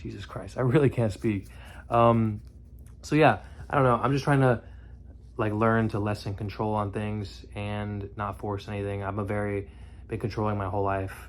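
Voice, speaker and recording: A man's fairly low voice, with ordinary pitch variation, at a moderate pace. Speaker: vlogger. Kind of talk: casual monologue rant. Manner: halting, stumbles over words.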